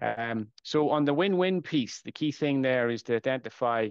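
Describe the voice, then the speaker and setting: A man in an Irish accent, with a dry, close sound with no echo and a quiet background. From Ireland, border area near Dundalk. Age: 40s. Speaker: supply chain expert. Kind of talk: podcast interview.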